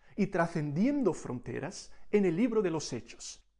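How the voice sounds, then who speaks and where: Speaking at a fairly slow pace, a man with a high pitch and a dark, mellow tone moves through very wide pitch swings. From Brazil. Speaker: missions speaker. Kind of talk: sermon. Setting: recorded message for a conference.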